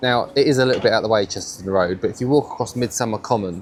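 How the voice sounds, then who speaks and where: Over noticeable background noise, a man with a southern English accent speaks at a medium pitch. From Cambridge, England. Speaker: food and drink vlogger. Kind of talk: casual talk to camera.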